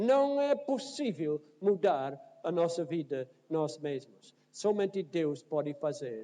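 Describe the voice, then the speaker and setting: Here a man with a North American accent speaks at a very slow pace, yet with hardly any pauses. His high pitch swings very widely, and his tone is dark and mellow. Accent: foreign, North American accent in Portuguese. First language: English (speaking Portuguese). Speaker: pastor. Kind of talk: sermon. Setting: church.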